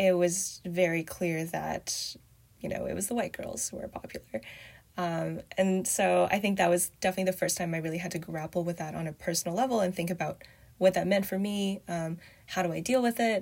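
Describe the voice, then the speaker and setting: Talking at a fairly quick pace, a woman with a Canadian accent sounds somewhat breathy. Her voice sits at a medium pitch for a woman, with fairly even intonation. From Canada. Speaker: writer and former software engineer. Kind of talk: casual interview.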